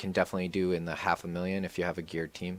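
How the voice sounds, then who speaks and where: A man's very deep, low voice over music in the background. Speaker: gaming streamer. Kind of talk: live gameplay commentary. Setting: live stream. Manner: fast.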